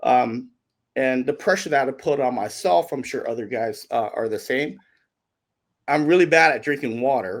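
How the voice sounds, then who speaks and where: In a very clean recording with a silent background, a man speaks at a moderate pace with an animated tone and lively intonation. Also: medium pitch for a man. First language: not English. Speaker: professional bass angler. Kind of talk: podcast interview.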